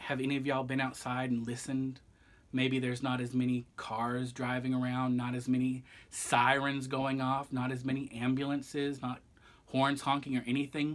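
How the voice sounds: The pace is moderate. Intonation stays monotone and flat throughout.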